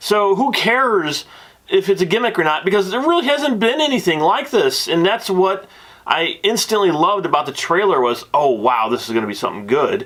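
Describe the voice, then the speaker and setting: A loud, fairly quick man's voice, high in pitch, with very wide pitch swings. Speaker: movie reviewer. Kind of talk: movie review. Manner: animated.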